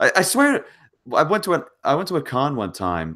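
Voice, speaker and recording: Recorded very cleanly against a silent background, a man with an American accent speaks at a moderate pace. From United States. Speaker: channel host. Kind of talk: casual chat.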